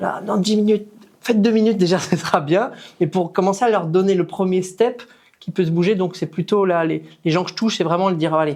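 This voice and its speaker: A man's high-pitched voice at a fairly quick pace, with fairly even intonation and noticeable background noise. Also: big swings in loudness. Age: 40s. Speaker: fitness coach. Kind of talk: interview. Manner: casual.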